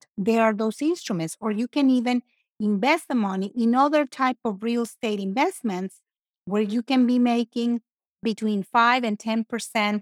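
A woman speaks with a Mexican accent. Her pitch is fairly high and varies in an ordinary way. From Mexico. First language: Spanish. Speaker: financial services professional and CPA. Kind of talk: casual interview.

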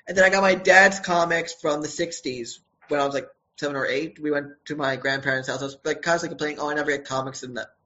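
Talking at a very fast pace, a man with an American accent keeps his intonation fairly even. His pitch sits fairly high. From Brooklyn, New York. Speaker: comic book writer. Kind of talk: casual interview chat.

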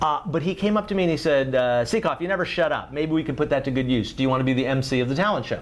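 A man with an American accent, fairly high pitch, lively intonation and a fairly quick pace, in an ordinary speaking voice. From US South, Miami, Florida. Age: 50s. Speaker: writer and former editor. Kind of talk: casual interview.

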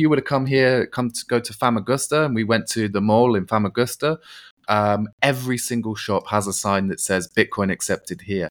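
The speaker has a British accent. The recording is very clean, with a silent background and a dry, close sound with no echo. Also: man. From UK. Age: 30s. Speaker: crypto entrepreneur. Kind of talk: podcast interview.

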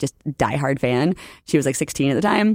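A woman speaks at a very deep, low pitch. The sound is dry and close, with no echo. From New Orleans, US South. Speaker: orthodontist and educator. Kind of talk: casual interview chat. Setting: conference venue, in person interview. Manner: fast talker.

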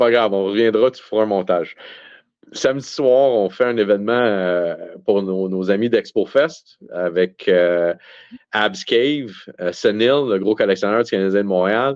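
This man has a plain, everyday voice with a fairly low pitch and ordinary pitch variation, speaking at a fairly slow pace. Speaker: card show organizer. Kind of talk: casual chat.

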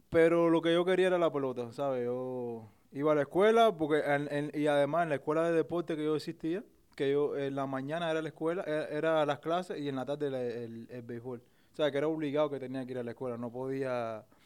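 A man with a Cuban accent and a fairly high pitch, at a fairly quick pace, with ordinary pitch variation and big swings in loudness. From Cuba, Isla de la Juventud. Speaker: professional baseball player. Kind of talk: casual interview. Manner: halting, many repetitions and fillers.

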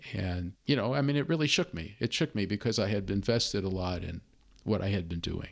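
In a very clean recording with a silent background, a man with an American accent uses a normal speaking voice, fairly low in pitch, talking at a fairly quick pace with lively intonation. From US Midwest, Chicago. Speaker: consultant for nonprofits, former professor. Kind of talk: interview, personal testimony.

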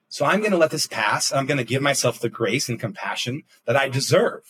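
A man with a fairly high pitch uses a normal speaking voice, talking at a fairly quick pace with lively intonation. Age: 30s. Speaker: executive coach. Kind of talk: casual chat.

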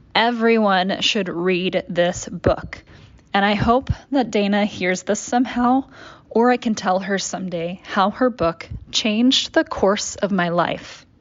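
An ordinary speaking voice with an American accent talks at a fairly slow pace. Its pitch varies in an ordinary way. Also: woman, medium pitch for a woman. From Dallas, Texas. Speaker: small business owner. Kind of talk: audio essay, scripted narration.

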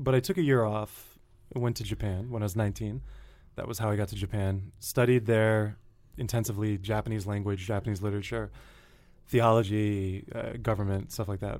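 A man with an American accent, a fairly low pitch, fairly even intonation, a fairly quick pace and a normal speaking voice. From Connecticut, US. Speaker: writer and designer. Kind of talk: interview. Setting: studio.

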